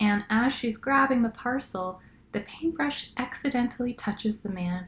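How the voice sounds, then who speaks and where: With a relaxed tone and somewhat breathy voice, a woman speaks at a fairly slow pace, her intonation lively. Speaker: sleep story narrator. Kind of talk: sleep story, casual campfire-style storytelling. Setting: recorded on a laptop outside a studio, some background noise. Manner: relaxed, casual, unhurried.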